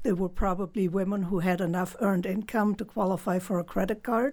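With a German accent, a woman speaks at a fairly quick pace. Her intonation is fairly even. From Germany. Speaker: author and former hog farmer. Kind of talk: interview.

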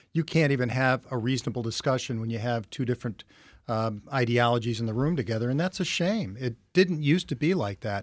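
At a fairly quick pace, a man with an American accent speaks at a medium pitch with ordinary pitch variation in a very clean recording with a silent background. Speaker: politician, county executive candidate. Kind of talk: political discussion. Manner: animated, interrupts.

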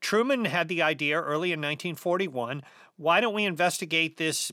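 A man with a high pitch is speaking. His pace is fairly quick, with ordinary pitch variation. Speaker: journalist and author. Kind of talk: radio interview about his book.

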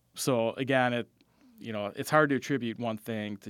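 Using a normal speaking voice, a man with an American accent talks at medium pitch with fairly even intonation on a very clean recording with a silent background. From Wisconsin, Fond du Lac. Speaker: meteorologist. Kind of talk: radio interview.

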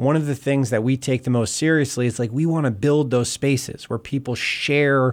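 The recording is very clean, with a silent background. A man with an eastern Pennsylvania accent speaks at a moderate pace and with fairly even intonation. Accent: eastern Pennsylvania American. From Bethlehem, Pennsylvania, US. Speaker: city mayor. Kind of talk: radio interview.

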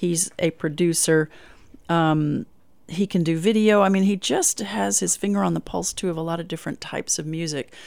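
A woman with a normal speaking voice talks at a moderate pace, pitched fairly low, with lively intonation. The recording is very clean, with a silent background. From Long Island, New York; Texas from junior high. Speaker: singer-songwriter. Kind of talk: interview. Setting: radio studio.

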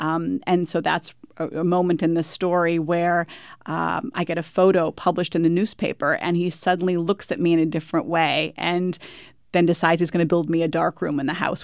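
On a very clean recording with a silent background, a woman with an American accent uses a plain, everyday voice, fairly low in pitch, speaking at a fairly quick pace with fairly even intonation. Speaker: author. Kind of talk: radio interview.

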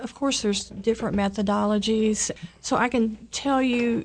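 Here is an unremarkable speaking voice from a woman. She talks at a fairly slow pace with ordinary pitch variation. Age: 50s. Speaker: nurse and program director. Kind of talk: radio interview. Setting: studio.

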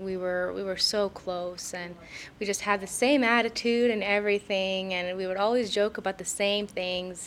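Someone with an Idaho accent talks at a moderate pace with fairly even intonation. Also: woman. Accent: Idaho speech. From Idaho (Boise). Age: 20s. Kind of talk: interview, personal testimony.

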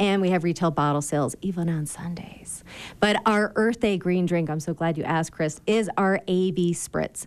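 A woman speaks in a normal speaking voice with an American accent. Her pitch is fairly low, with ordinary variation, at a moderate pace. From Michigan. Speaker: distillery co-owner. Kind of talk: radio interview. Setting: studio.

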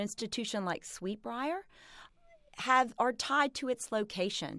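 An ordinary speaking voice with an American accent moves at a moderate pace with lively intonation, recorded very cleanly against a silent background. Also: woman. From South Carolina. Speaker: college president. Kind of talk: radio interview. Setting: studio.

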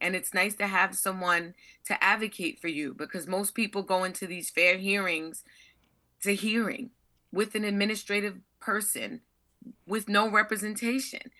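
A woman talks in a medium pitch with a bright, sharp tone. Her delivery is animated, with ordinary pitch variation over a quiet background. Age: 50s. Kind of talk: testimony.

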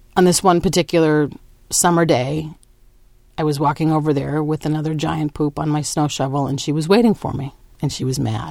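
Very deep, low female speech, dark and mellow in tone. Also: fairly quick pace. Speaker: writer and performer. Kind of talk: storytelling in an interview feature. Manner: confident, bold, animated.

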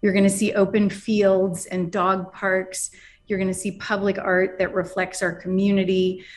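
A woman with a medium pitch speaks at a moderate pace in a flat, monotone intonation. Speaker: arts curator and real estate executive. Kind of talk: radio interview.

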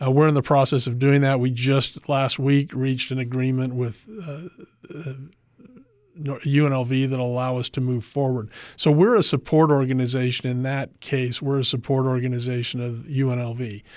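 A man with an American accent talks at a medium pitch and moderate pace in monotone, flat intonation. The recording is very clean, with a silent background. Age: 60s. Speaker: lobbyist and former state senator. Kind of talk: radio interview.

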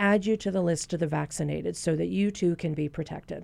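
On a very clean recording with a silent background, a woman with an unremarkable speaking voice talks at a fairly low pitch and a fairly quick pace. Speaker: physician. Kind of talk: radio Q&A interview. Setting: studio.

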